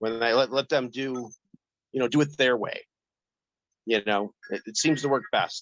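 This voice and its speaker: At a moderate pace, a man with a medium pitch and ordinary pitch variation talks with long, frequent pauses in a dry, close sound with no echo. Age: 50s. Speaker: warehouse worker, live show caller. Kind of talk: casual chat. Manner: halting.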